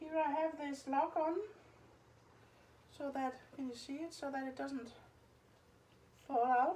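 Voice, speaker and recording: Pausing long and often, a woman with a non-native accent speaks at a fairly slow pace in a high pitch, her intonation fairly even. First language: Danish. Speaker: home cooking youtuber. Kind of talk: tutorial. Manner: casual, halting.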